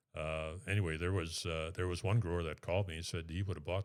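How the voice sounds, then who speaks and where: A man with an American accent, very deep and low in pitch, flat and monotone, on a very clean recording with a silent background. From south central Minnesota. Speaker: city councilman. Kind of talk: podcast interview. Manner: hesitant, with fillers.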